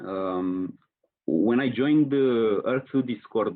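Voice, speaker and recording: A man speaks in a Romanian accent at a medium pitch. His intonation is lively. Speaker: marketing professional, online community leader. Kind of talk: podcast interview. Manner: hesitant, many fillers.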